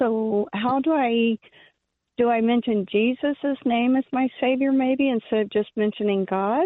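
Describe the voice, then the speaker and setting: A woman's high voice with ordinary pitch variation and very even loudness, at a fairly slow pace. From US South, Georgia. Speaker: caller. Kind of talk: phone-in question. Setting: phone call. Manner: halting.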